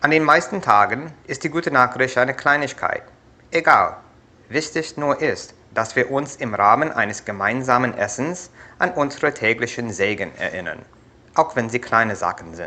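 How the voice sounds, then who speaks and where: With an American accent and medium pitch, a man speaks at a moderate pace in a bright, sharp tone with vocal fry and lively intonation. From USA. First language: English (speaking German). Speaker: YouTuber. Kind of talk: vlog.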